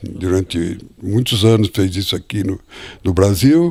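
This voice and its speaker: The recording is very clean with a silent background. A man speaks at a fairly slow pace in a dark, mellow tone. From Brazil, Botucatu, São Paulo interior. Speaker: retired biologist, former lawyer. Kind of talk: interview. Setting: at home.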